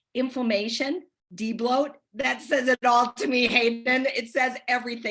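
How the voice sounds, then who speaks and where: A woman's high-pitched voice at a moderate pace against a quiet background. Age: 60s. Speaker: nutrition program contributor. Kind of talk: testimony.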